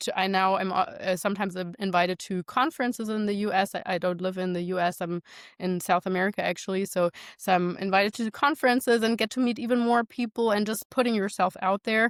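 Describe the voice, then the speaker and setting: A woman speaks at a fairly quick pace and medium pitch with fairly even intonation, in a dry, close sound with no echo. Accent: non-native. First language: not English. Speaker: nutrition and fitness coach. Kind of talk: interview conversation.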